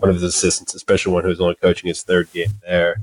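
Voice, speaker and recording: This man has a very deep, low pitch and an American accent. The sound is dry and close, with no echo. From Kentucky, near Indiana border. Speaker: sports journalist. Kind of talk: casual chat.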